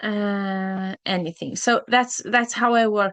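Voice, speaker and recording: A woman with a Norwegian accent speaks at a fairly high pitch, fairly slow pace and fairly even intonation against a quiet background. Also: dry, close sound with no echo. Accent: Norwegian-accented English, uvular R. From southern Norway, Kristiansand. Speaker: language teacher. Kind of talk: online language class. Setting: live video class. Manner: halting, many fillers.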